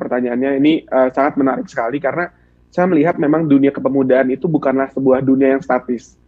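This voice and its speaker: The speaker talks at a very fast pace with fairly even intonation. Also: man. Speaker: student union president. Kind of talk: talk show interview.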